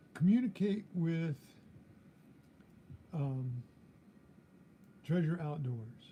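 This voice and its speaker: Talking at a very slow pace, a man has a fairly high pitch and a dark, mellow tone. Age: 70s. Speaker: metal detecting youtuber. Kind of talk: live stream chat. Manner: halting.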